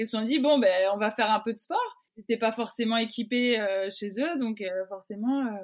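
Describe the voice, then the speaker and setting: A woman with an unremarkable speaking voice talks at a moderate pace, her pitch varying in an ordinary way. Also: fairly high pitch for a woman. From Brittany, Côtes d'Armor. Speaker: professional rugby player. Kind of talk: interview.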